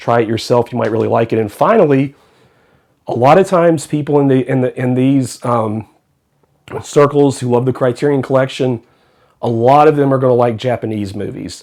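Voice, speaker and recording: With a normal speaking voice, a man talks at a fairly quick pace, medium in pitch with ordinary pitch variation. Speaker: film reviewer. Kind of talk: casual talk to camera.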